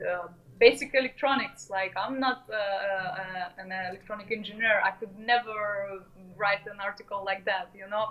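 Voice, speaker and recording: With a Russian accent and fairly even intonation, a woman's voice shows big swings in loudness over noticeable background noise. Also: medium pitch for a woman, moderate pace. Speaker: modular musician and educator. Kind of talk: casual interview chat. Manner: halting, many fillers.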